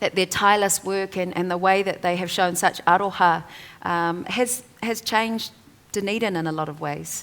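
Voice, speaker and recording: A woman with a New Zealand accent, medium pitch, moderate pace and fairly even intonation. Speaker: author and te reo Māori advocate. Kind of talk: panel discussion.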